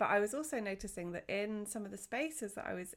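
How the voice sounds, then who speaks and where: A normal speaking voice with lively intonation comes through a very clean recording with a silent background. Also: woman. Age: 40s. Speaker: wellness podcaster and essential oils seller. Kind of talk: casual solo monologue.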